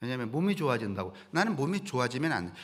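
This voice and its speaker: A man's fairly high voice with very wide pitch swings and vocal fry. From rural Korea. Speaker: pastor. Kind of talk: sermon. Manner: conversational, folksy.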